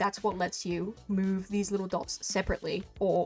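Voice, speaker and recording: Fairly quick speech over music in the background. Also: woman. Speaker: digital artist and animator. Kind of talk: casual software tutorial talk. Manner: casual, informal.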